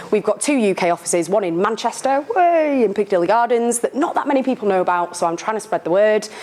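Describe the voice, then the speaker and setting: Speaking at a very fast pace with lively intonation and very even loudness, a woman has a fairly high pitch, with noticeable background noise behind her. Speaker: sponsor company representative. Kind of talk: sponsor talk to live audience. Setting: meetup room with audience.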